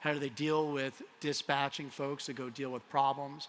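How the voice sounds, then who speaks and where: With a Colorado accent, a man of fairly high pitch speaks in monotone, flat intonation. His tone is bright and sharp. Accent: American, Colorado. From US, Colorado. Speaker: tech company CEO. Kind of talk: conference keynote. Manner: casual, with frequent fillers.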